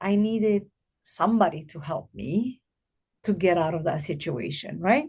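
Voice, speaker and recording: Her voice is somewhat breathy and fairly low, and this woman speaks with lively intonation in a non-native accent. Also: moderate pace. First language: not English. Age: 50s. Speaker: abuse survivor and guest speaker. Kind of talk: podcast interview.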